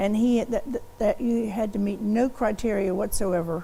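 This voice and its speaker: A woman speaks at a moderate pace in a fairly high, somewhat breathy voice with a dark, mellow tone and ordinary pitch variation. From US South, Kentucky (Bowling Green). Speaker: law professor. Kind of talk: oral history interview. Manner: hesitant, with fillers and restarts.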